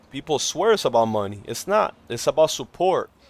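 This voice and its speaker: At a fairly quick pace, a man with a non-native accent and fairly high pitch speaks in an animated tone, the sound dry and close with no echo. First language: not English. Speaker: gaming livestreamer. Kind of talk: casual live stream chat. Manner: casual, animated.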